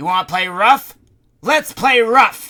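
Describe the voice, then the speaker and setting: A man uses a put-on character voice with a high pitch. He speaks at a fairly slow pace. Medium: read story. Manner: excitable, flustered.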